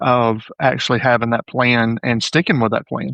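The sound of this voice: In a dry, close sound with no echo, a man at medium pitch talks at a moderate pace with a fairly bright tone, little pitch movement and vocal fry.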